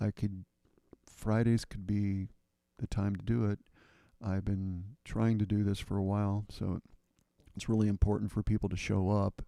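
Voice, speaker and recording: A man's dark, mellow voice at a fairly low pitch, monotone and flat, with long, frequent pauses and a dry, close sound with no echo. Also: moderate pace. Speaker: spiritual livestreamer and sound healer. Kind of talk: casual live stream talk. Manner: hesitant, many fillers; tends to drop low in voice. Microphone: quiet, direct-input mic, risks distortion.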